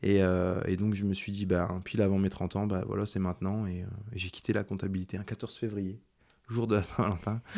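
A man with a fairly low, dark, mellow voice speaks at a fairly quick pace. His intonation is monotone and flat. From Ardennes, France. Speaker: chef, cooking show winner. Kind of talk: casual interview.

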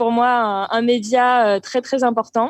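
The background is quiet. A woman speaks with an unremarkable speaking voice and fairly even intonation. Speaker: interfaith volunteer on world tour. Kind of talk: casual interview. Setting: remote call from abroad.

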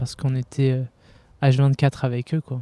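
A man speaks in a dark, mellow tone with monotone, flat intonation. The recording is very clean, with a silent background. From France. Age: 20s. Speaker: pastry cook, humanitarian volunteer. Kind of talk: casual interview. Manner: halting.

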